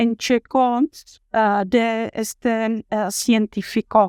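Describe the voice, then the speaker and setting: A woman with a Czech accent speaks very slowly in a monotone, flat intonation, in a dry, close sound with no echo on a very clean recording with a silent background. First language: Czech (speaking Spanish). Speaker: university professor. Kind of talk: lecture. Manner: halting, many filler sounds.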